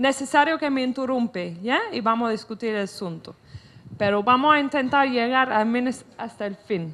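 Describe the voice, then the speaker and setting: Raising and projecting her voice, a woman with a non-native accent speaks with lively intonation. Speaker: author and lecturer. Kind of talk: lecture. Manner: halting.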